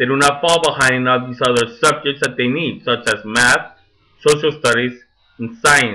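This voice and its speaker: The speaker talks at a moderate pace with ordinary pitch variation and a non-native accent. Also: man. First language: Spanish. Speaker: teacher. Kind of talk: monologue.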